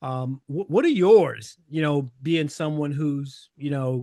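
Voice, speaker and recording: At a fairly slow pace, a man with a fairly high voice and a dark, mellow tone speaks with ordinary pitch variation, the sound dry and close with no echo. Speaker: podcast host. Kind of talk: casual chat.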